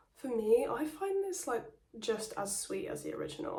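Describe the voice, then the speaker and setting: A woman talks over noticeable background noise. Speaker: perfume reviewer. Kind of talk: casual talk to camera.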